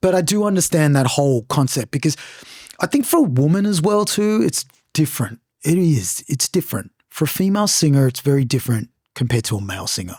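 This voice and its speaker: Very fast and somewhat breathy, a man's fairly high voice makes very wide pitch swings in a very clean recording with a silent background and a dry, close sound with no echo. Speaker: podcast host and singer. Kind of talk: casual chat. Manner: animated.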